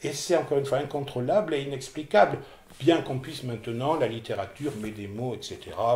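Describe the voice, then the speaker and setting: A man's fairly high voice with ordinary pitch variation, big swings in loudness, and noticeable background noise. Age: 60s. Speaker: person with OCD giving testimony. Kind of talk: testimony interview. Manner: hesitant, repeating words.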